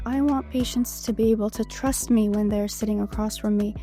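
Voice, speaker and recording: Speech moves at a moderate pace with music in the background. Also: woman. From Bulgaria. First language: not English. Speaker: medical student. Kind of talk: interview answer.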